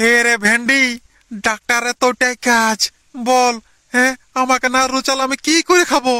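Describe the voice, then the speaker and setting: A fairly high, cartoonish character voice at a moderate pace. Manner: whiny, complaining.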